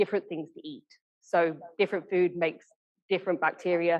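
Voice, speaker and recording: At a fairly quick pace, a woman talks with a fairly low pitch. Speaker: research scientist. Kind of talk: lecture. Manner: fast.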